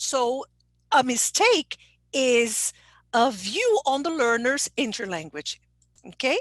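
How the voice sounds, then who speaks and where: Speaking in a Brazilian Portuguese accent, a woman with a high pitch swings very widely in pitch at a very slow pace with long, frequent pauses, in a dry, close sound with no echo. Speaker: English teacher trainer. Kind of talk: online conference presentation.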